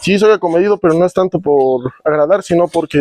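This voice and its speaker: A man talks in a high-pitched voice with fairly even intonation. The sound is dry and close, with no echo. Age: 20s. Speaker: tradesman, guest. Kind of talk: casual chat.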